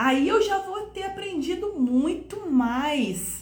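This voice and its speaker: A woman with a Minas Gerais accent, animated in tone, with very wide pitch swings and audible room echo. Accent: Brazilian Portuguese, Minas Gerais (mineiro). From Brazil, Minas Gerais. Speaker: French teacher. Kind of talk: online lesson / tutorial.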